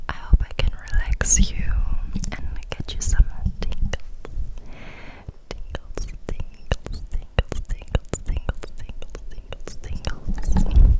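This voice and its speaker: Whispering from a woman, very slow, broken by long, frequent pauses, with big swings in loudness and noticeable background noise behind. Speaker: ASMR creator. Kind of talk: ASMR whispering. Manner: whispered.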